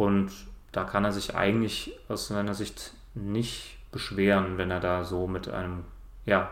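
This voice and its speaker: A fairly low-pitched man's voice with audible room echo. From Germany, Cologne. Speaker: basketball podcast guest. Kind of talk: casual chat.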